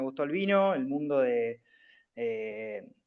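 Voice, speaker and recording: A man is speaking. His pace is very slow. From Argentina, Bahía Blanca. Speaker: student, professional basketball player. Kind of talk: self-introduction in class. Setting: video call. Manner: hesitant, many fillers.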